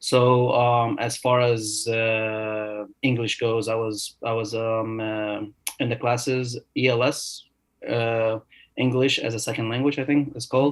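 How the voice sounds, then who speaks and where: At a fairly slow pace, a man with an Arabic accent speaks at a medium pitch in a monotone, flat way. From Egypt. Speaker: new dentist. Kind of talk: podcast interview. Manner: hesitant, many fillers.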